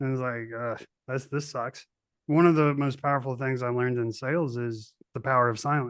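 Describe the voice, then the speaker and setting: Against a quiet background, a man speaks in an ordinary speaking voice. His intonation is fairly even. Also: medium pitch for a man, fairly quick pace. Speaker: podcast host, army veteran. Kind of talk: casual interview chat.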